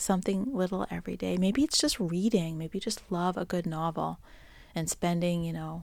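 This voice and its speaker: A woman with an American accent speaks at a moderate pace in a fairly low, warm voice with ordinary pitch variation. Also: very clean recording, silent background. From Boston, US. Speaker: podcast host. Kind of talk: solo musing monologue. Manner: conversational, warm, with filler words.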